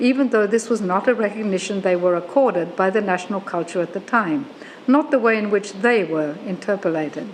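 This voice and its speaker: A woman with an Australian accent talks at a fairly quick pace with ordinary pitch variation over noticeable background noise. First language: German. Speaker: professor. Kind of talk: lecture. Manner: formal.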